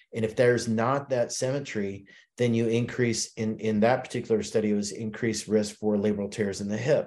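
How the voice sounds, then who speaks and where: At a fairly quick pace, a man speaks in a monotone, flat intonation at a medium pitch. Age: 50s. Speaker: sports medicine expert. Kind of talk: interview. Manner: halting.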